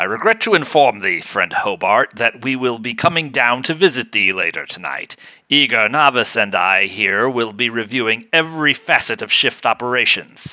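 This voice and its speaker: A put-on character voice with lively intonation, at a moderate pace with hardly any pauses. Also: man, medium pitch for a man. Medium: read story. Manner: stiff archaic formal speech.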